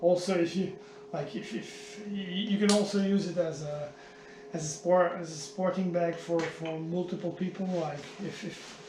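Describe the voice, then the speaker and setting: There is noticeable background noise and audible room echo. A man speaks with a high pitch and fairly even intonation. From Flanders, Belgium. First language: Dutch (Flemish). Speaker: triathlete vlogger. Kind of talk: product demo vlog. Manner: halting, many repetitions.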